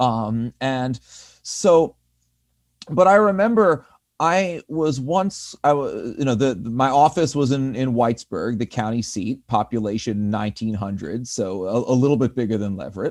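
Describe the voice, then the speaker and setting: A man with a Northeastern US accent, medium pitch and lively intonation at a moderate pace, in a dry, close sound with no echo on a very clean recording with a silent background. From US Northeast. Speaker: community organizer. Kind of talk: panel discussion.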